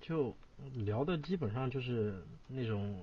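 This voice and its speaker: A man speaks quietly in a somewhat breathy voice. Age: 20s. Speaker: caller. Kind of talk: phone-in confession about breakup. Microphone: too far from the mic.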